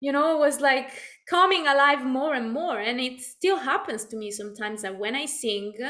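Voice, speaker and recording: In a raised, projected voice with an Italian accent, a woman speaks at a high pitch with a bright, sharp tone and lively intonation, with audible room echo. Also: moderate pace. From Italy. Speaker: video podcast co-host, singer. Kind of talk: casual conversation. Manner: halting, many fillers.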